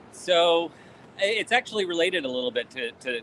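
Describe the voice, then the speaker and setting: This man has an unremarkable speaking voice with an American accent. He talks at a moderate pace with ordinary pitch variation. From Vermont, US. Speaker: e-discovery consultant. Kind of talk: casual chat.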